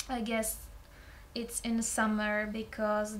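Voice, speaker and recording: A woman with a fairly high pitch speaks at a very slow pace in a monotone, flat intonation. Audible room echo and noticeable background noise fill the recording. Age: 20s. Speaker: student. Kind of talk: oral exam practice. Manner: halting.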